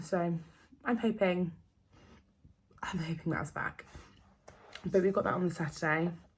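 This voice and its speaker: Speaking with an English accent, a woman has a somewhat breathy, fairly low voice and fairly even intonation. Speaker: vlogger. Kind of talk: casual chat. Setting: at home. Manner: fast.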